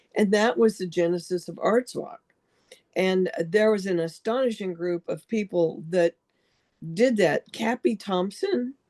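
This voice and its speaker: At a fairly slow pace, a woman of medium pitch speaks in a dark, mellow tone with ordinary pitch variation, the sound dry and close with no echo. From Europe. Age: 70s. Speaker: artist and book illustrator. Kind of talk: casual chat.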